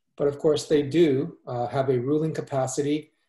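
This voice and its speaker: A man speaks at a moderate pace in a fairly high, somewhat breathy voice with a dark, mellow tone. His intonation is fairly even, with audible room echo over a quiet background. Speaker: church minister. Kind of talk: interview conversation. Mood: warm, gentle. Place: home room. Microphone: video call.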